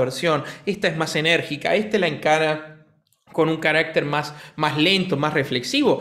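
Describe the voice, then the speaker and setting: A man is speaking. His pitch is fairly high. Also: quiet background. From Argentina. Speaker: piano teacher and pianist; piano teacher. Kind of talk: casual chat. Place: home room. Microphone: studio mic.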